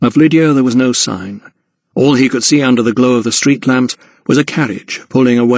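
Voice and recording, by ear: Reading aloud in a natural voice, with fairly even intonation, over a quiet background.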